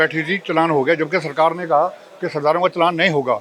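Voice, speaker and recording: Bright and sharp in tone, a man speaks at a high pitch. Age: 80s+. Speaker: senior citizen complaining. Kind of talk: street interview complaint.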